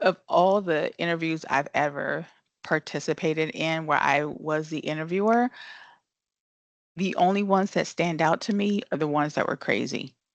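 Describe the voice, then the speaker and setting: A woman at a fairly low pitch and moderate pace with ordinary pitch variation, the sound dry and close with no echo over a quiet background. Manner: soft-spoken.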